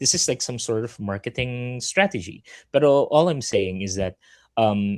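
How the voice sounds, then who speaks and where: Against a quiet background, a man talks at a moderate pace and medium pitch with lively intonation, the sound dry and close with no echo. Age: middle-aged. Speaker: podcast host, card game player. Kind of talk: casual chat. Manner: halting, many fillers and repeats.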